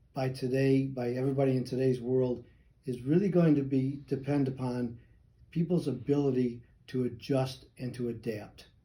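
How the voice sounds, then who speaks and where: A somewhat breathy, dark, mellow tone with an American accent and fairly even intonation. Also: man. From Chicago, US Midwest. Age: 70s. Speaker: retired air force veteran, insurance agent. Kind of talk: interview. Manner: halting, with fillers.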